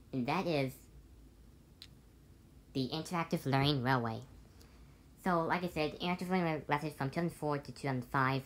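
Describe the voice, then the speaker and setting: A woman's very deep, low pitch at a very fast pace, with ordinary pitch variation and light background noise. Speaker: toy train collector. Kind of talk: toy review talk to camera. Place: home room. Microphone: phone near.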